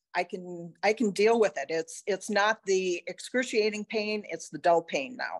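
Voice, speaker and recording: A woman with a plain, everyday voice speaks at a fairly slow pace and a medium pitch, with ordinary pitch variation, hardly any pauses, and a dry, close sound with no echo. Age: 60s. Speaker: patient. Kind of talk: testimony.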